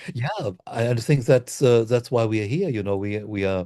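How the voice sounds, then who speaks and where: A dark, mellow tone with a German accent, ordinary pitch variation, and a quiet background. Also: man. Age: 60s. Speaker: Reiki master and author. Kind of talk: interview.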